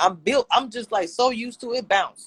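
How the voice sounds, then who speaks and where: A woman with an American accent and an animated tone. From Louisiana. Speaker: YouTube reviewer. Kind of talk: casual chat.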